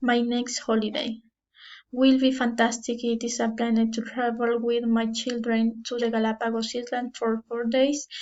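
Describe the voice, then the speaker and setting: A woman with a Spanish accent, fairly high in pitch, with monotone, flat intonation. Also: moderate pace. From Ecuador. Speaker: language student. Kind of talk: class presentation. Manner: halting.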